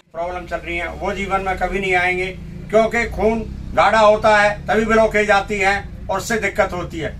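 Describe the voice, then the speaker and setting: This man's voice sits high, delivered in a monotone, flat manner. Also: moderate pace. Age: 60s. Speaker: blood donor. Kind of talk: news interview.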